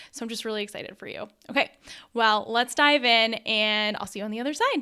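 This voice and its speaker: A bright, sharp, animated voice moves at a fairly quick pace, its loudness rising and falling in big swings. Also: woman, fairly high pitch for a woman. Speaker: online business coach. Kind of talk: webinar training. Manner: fast.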